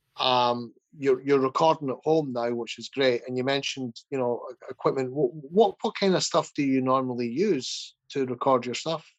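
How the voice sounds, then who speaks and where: An unremarkable speaking voice from a man, medium in pitch, with ordinary pitch variation and a moderate pace. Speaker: podcast host and producer. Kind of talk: casual interview chat.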